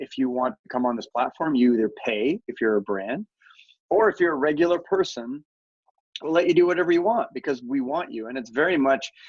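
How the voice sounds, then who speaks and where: An ordinary speaking voice with a Canadian accent moves at a fairly quick pace with lively intonation, the sound dry and close with no echo. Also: man. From Canada. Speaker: media company founder and CEO. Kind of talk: podcast interview.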